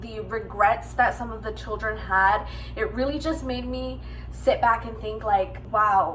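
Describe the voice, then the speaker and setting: A woman talks fairly slowly amid noticeable background noise, and audible room echo surrounds her voice. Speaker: book vlogger. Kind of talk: casual vlog talk. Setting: at home. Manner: hesitant, with fillers.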